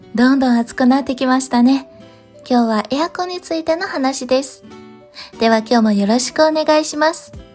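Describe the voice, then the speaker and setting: Over music in the background, a woman speaks very fast at a high pitch with ordinary pitch variation and big swings in loudness. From Beijing, China. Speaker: Chinese teacher and narrator. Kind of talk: casual talk to learners.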